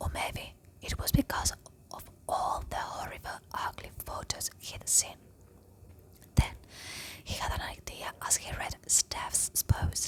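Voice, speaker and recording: Whispering at a very slow pace, a woman leaves long, frequent pauses and makes big swings in loudness against noticeable background noise. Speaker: ASMR storyteller. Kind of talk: story reading. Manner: slow, soft-spoken.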